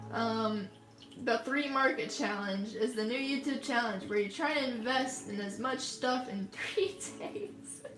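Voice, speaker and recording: With music in the background, a woman in an American accent speaks at a fairly slow pace in a high pitch. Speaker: artist livestreamer. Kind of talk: casual livestream chat.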